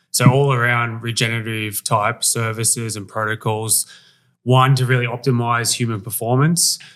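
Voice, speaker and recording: Heard in a very clean recording with a silent background, a man with an Australian accent talks at a moderate pace and medium pitch with fairly even intonation. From Australia, Sydney. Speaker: wellness center owner. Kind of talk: casual interview.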